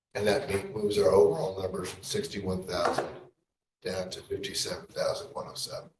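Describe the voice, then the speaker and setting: A man's voice rises and falls a great deal in loudness, with audible echo from the room. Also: fairly quick pace. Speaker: election registrar. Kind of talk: presentation at a public board meeting. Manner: too quiet at times, asked to speak louder; hesitant, many fillers.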